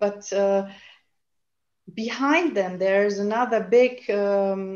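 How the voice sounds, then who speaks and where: A woman talks at a very slow pace. Room echo is audible around her voice. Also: medium pitch for a woman, ordinary pitch variation. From Germany. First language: German. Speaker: naturopath and healer. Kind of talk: panel discussion. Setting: video call. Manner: halting, searching for words.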